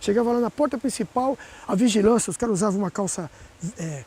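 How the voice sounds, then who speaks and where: Over noticeable background noise, a man talks at a very fast pace with lively intonation in a dry, close sound with no echo. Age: 60s. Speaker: environmental activist. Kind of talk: interview. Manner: animated.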